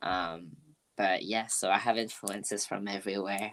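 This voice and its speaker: A woman with a French accent speaks at a moderate pace in a monotone, flat intonation, recorded very cleanly against a silent background. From France. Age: 20s. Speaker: music producer and artist. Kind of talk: interview conversation.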